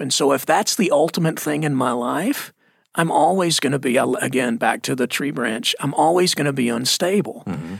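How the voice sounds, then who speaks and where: A man's fairly high voice with lively intonation at a fairly quick pace. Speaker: lead pastor. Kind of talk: casual conversational Bible discussion.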